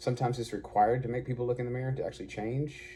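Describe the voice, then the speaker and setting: A man's dark, mellow, somewhat breathy voice at a very fast pace. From Arkansas. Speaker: online preacher / vlogger. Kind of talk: casual monologue.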